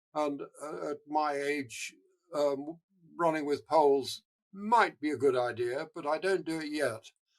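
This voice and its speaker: A man with a fairly high pitch and ordinary pitch variation speaks at a fairly slow pace. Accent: English. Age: 80s+. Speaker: marathon runner and charity founder. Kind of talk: interview. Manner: halting.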